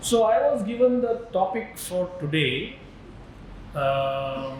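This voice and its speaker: Speaking at a very slow pace with a Marathi accent, a man uses a high pitch with very wide pitch swings. Noticeable background noise and audible room echo fill the recording. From India, Maharashtra. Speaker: spiritual teacher. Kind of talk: lecture.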